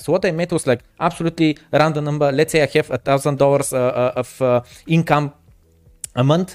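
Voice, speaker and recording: Speaking at a fairly quick pace with a Bulgarian accent, a man has a fairly high pitch, fairly even intonation and very even loudness, in a dry, close sound with no echo. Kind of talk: casual chat. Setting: video call.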